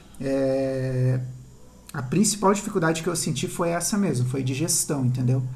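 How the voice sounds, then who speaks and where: The speaker talks at a moderate pace with ordinary pitch variation, and room echo is audible. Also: man, fairly high pitch for a man. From southern Brazil (Paraná / Santa Catarina). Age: 30s. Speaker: architect. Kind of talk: interview. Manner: halting.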